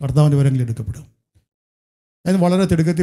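A man speaks in a fairly high pitch with a dark, mellow tone against a quiet background. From Kerala, India. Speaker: pastor. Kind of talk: sermon. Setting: church. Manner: frequent switching between Malayalam and English. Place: church. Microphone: handheld.

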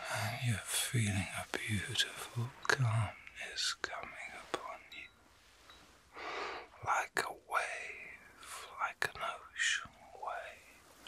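A man whispering in a gentle, soothing tone, very slowly, with long, frequent pauses. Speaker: reiki master and ASMR artist. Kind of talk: ASMR reiki healing session, guided relaxation. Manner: gentle, whispered, slow, soothing. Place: home room. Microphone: phone near.

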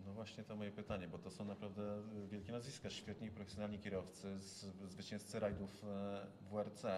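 Amid noticeable background noise, a man with a fairly low pitch speaks at a fairly quick pace in a monotone, flat intonation, broken by long, frequent pauses. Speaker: motorsport journalist. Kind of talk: interview. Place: meeting room.

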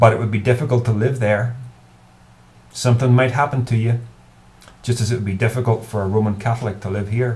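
A man with a Northern Irish accent at a very fast pace, with long, frequent pauses and monotone, flat intonation. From Northern Ireland. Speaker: YouTuber. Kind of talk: advice monologue to camera. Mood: earnest, thoughtful. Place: home room. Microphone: webcam.

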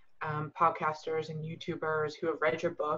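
At a moderate pace, a woman with an ordinary speaking voice talks in a fairly low pitch. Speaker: book club reader. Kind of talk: casual chat. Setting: video call.

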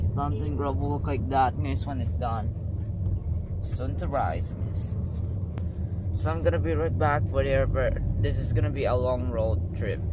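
Loud background noise surrounds a man speaking at a moderate pace with ordinary pitch variation. The sound is dry with no echo, and his pauses are long and frequent. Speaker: vlogger. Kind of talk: casual vlog chat. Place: car.

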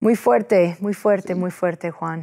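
A woman speaks with an English accent and fairly even intonation. Her tone is dark and mellow against a quiet background. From United States. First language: English (speaking Spanish). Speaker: TV host, lawyer and state senator; TV host, lawyer, state senator. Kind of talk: interview. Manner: halting with many fillers. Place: studio. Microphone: lapel.

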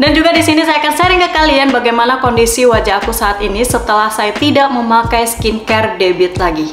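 The speaker talks very fast, with audible room echo and music playing in the background. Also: woman. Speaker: beauty vlogger. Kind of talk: casual product review vlog. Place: home room.

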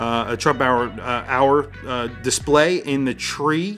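Faint music plays in the background as a man speaks at a fairly slow pace with ordinary pitch variation. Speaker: watch reviewer. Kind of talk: product review commentary. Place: home room.

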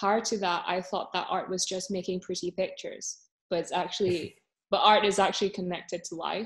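The delivery is fairly quick, in a flat monotone. The background is quiet. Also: woman. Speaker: podcast co-host. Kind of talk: casual chat. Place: home room. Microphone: video call.

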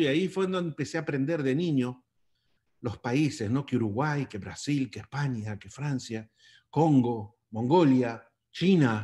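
A man talks in a normal speaking voice. His pitch is medium and his intonation lively. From Argentina. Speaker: long-distance motorcycle traveler; interview guest. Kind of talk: interview. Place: home room. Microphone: webcam.

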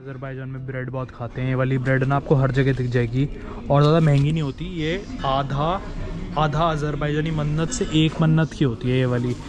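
At a fairly quick pace, a man with a medium pitch and a slightly mellow tone speaks with little pitch movement over faint background noise.

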